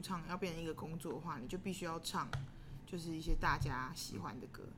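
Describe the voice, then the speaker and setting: A woman at a very fast pace, with audible room echo. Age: 30s. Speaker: singer and band frontwoman. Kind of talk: casual interview.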